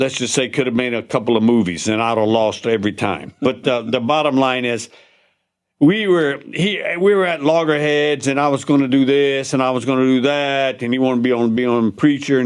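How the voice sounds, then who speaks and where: A Louisiana accent at a moderate pace with ordinary pitch variation. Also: man. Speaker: war veteran. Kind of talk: casual chat.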